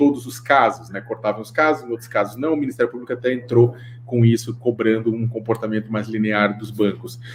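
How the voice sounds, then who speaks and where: In a somewhat breathy, monotone voice with flat intonation, a man at a medium pitch talks at a fairly quick pace. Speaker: panelist on anti-slavery finance. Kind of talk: webinar talk. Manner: fast.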